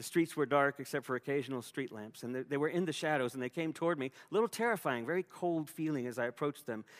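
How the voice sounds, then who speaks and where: Over a silent background in a very clean recording, a man talks at a very fast pace and a fairly high pitch with ordinary pitch variation, in a dry, close sound with no echo. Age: 50s. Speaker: pastor. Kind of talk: sermon. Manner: halting.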